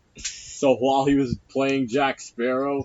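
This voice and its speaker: A plain, everyday voice belongs to a man of medium pitch. His pace is fairly slow and his intonation fairly even. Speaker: film review podcast co-host. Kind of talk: casual chat.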